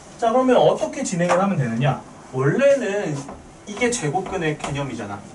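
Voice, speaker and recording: Noticeable background noise and audible room echo surround a man's voice. His pitch is high and swings very widely. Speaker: math teacher. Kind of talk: lecture. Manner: fast.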